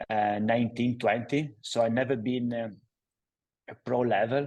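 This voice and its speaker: A man speaks with an Italian accent at a medium pitch. His intonation stays fairly even, and his pace is fairly slow. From Italy, Padova (northeast). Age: 40s. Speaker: cycling footwear entrepreneur. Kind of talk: interview. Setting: studio. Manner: halting, many fillers.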